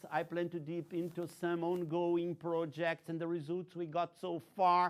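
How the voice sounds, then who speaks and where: A man with a Brazilian accent speaks at a fairly slow pace in a high voice, recorded very cleanly against a silent background. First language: Portuguese. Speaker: technology research executive. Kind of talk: invited lecture.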